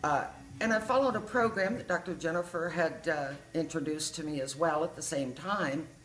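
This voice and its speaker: Noticeable background noise is present throughout. The delivery has lively intonation at a moderate pace. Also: woman. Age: 60s. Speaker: patient giving a testimonial. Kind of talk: testimony. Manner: conversational, chatty.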